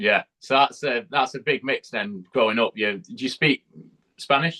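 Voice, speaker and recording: A man with a British accent talks at a moderate pace and medium pitch, with lively intonation. His tone is bright and sharp, and the sound is dry and close with no echo. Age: 19. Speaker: podcast host. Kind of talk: interview conversation.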